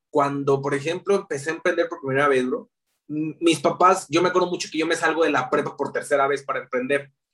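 Fairly quick pace with ordinary pitch variation and a Mexican accent. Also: man. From Mexico, León, Guanajuato. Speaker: digital marketer. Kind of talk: casual interview. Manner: talkative.

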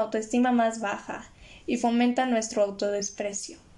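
A woman in a Mexican accent at a fairly slow pace. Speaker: podcast host. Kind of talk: casual solo monologue on mental health. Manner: occasionally stumbles over words.

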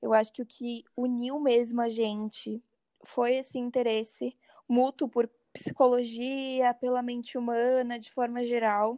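In a dry, close recording with no echo, a woman with a high pitch and a dark, mellow tone speaks at a fairly slow pace in a monotone, flat intonation, her loudness swinging widely. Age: 20s. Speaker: psychology student. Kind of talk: casual chat.

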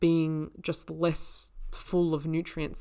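On a very clean recording with a silent background, a woman with an Australian accent speaks at a fairly low pitch. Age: 20s. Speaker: naturopath and podcast host. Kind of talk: solo educational podcast. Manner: casual, conversational with fillers.

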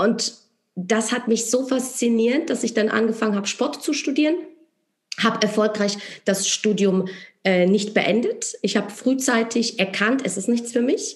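A woman with a Polish accent speaks at a fairly slow pace, her pitch fairly high, with ordinary pitch variation. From Poland. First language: Polish (speaking German). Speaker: entrepreneur and network marketer. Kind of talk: interview.

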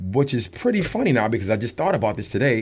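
A man talks at a very fast pace with vocal fry. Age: 40s. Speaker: radio show host and guest. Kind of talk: casual interview.

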